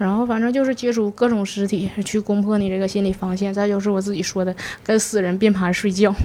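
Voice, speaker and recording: A woman with a Northeastern Chinese accent talks at a fairly quick pace, her medium pitch held in a monotone, flat intonation. Noticeable background noise runs behind her. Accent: Northeastern Mandarin. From Northeast China. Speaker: mortician. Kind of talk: interview storytelling. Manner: halting, stammering repetitions.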